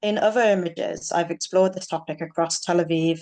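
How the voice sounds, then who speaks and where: A woman with a fairly low voice speaks at a moderate tempo. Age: 30s. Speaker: photographer and nurse. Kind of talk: presentation talk with slides.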